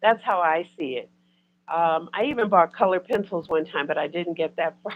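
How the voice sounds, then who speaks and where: This woman has a fairly low pitch and an unremarkable speaking voice, and she talks at a fairly quick pace. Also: ordinary pitch variation. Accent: American. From US, Detroit. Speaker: spiritual content creator. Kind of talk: casual chat.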